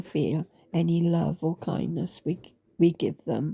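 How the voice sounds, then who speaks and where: A woman speaks in a fairly low pitch with vocal fry and a dark, mellow tone, the sound dry and close with no echo. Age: 80s+. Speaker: author. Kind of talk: personal testimony. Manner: halting, with many fillers.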